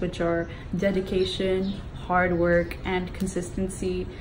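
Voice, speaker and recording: A woman speaks with an American accent. Room echo and noticeable background noise are both audible. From London. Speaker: pop singer. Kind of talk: interview answers.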